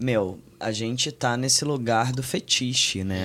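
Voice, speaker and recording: A man speaks at a very slow pace with a medium pitch and fairly even intonation. The recording is very clean, with a silent background. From Minas Gerais, Brazil (Belo Horizonte). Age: 20s. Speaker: youtuber and actor. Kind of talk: casual chat.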